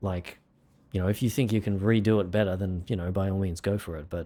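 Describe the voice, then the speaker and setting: Talking at a very fast pace with fairly even intonation, a man with an Australian accent has a very deep, low pitch in a very clean recording with a silent background. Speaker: music producer and livestreamer. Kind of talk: casual livestream chat. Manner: casual, halting with fillers and repeats.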